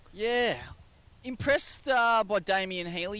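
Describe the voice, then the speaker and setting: With an Australian accent, a man speaks in a bright, sharp tone, his pitch swinging very widely. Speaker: surf contest commentator. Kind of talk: live commentary. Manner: animated.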